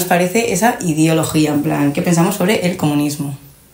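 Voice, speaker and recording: A woman talking very fast amid audible room echo and noticeable background noise. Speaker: podcast host. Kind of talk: casual chat.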